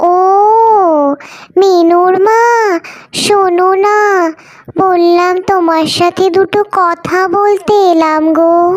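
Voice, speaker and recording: A woman does a cartoonish character voice at an extremely high pitch. She goes at a very slow pace, with monotone, flat intonation and very even loudness. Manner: warm, chatty.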